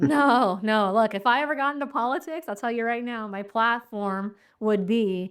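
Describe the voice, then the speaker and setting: On a very clean recording with a silent background, a woman with an American accent speaks at a moderate pace and a fairly high pitch with ordinary pitch variation. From United States. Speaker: podcast host. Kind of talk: podcast interview. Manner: casual, affirming.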